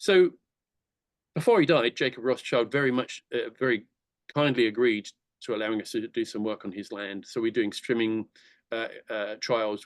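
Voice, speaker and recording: A man of medium pitch with an English accent at a fairly quick pace, in a dry, close sound with no echo and a quiet background. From England. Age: 60s. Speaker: conservation charity director. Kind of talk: presentation talk. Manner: fast; enthusiastic, halting with fillers.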